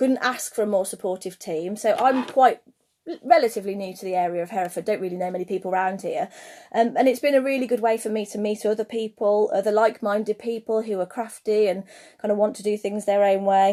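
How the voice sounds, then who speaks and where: Talking at a very fast pace with an American—no, with a British accent, a woman uses a fairly high pitch, a dark, mellow tone and ordinary pitch variation. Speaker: craft maker and online seller. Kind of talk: livestream talk to viewers. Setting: Instagram live stream.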